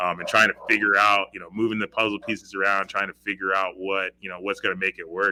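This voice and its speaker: Fairly low-pitched male speech in an American accent, bright and sharp in tone, fairly quick and fairly even in intonation, with a dry, close sound and no echo. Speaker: high school football coach. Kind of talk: interview.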